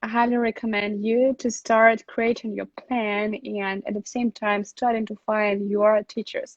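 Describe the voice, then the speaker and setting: A woman with a Russian accent at a fairly high pitch and very slow pace, monotone and flat, with hardly any pauses. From Russia, Saint Petersburg. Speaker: relocation consultant. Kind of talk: live stream Q&A. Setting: live online stream. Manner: halting, many fillers.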